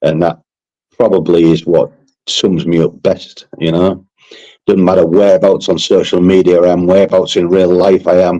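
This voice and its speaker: A man with a Yorkshire accent at a moderate pace, his loudness very even. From Yorkshire, northern England. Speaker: interview guest. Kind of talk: casual interview chat. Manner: plain speaking.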